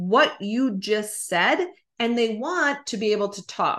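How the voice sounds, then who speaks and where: A woman's fairly high, bright and sharp voice, animated, with very wide pitch swings, on a very clean recording with a silent background. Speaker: podcast host and sales coach. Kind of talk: solo podcast monologue. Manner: fast talker; animated, conversational.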